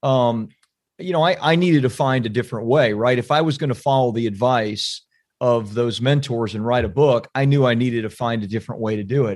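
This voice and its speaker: A normal speaking voice at a fairly quick pace, with ordinary pitch variation. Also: man. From Central Florida. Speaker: book publishing entrepreneur. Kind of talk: casual interview chat.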